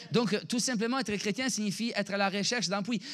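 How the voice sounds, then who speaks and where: Animated in tone, a man speaks in a high-pitched voice. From Italy. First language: Italian (speaking French). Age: 30s. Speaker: pastor. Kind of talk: sermon. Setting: church.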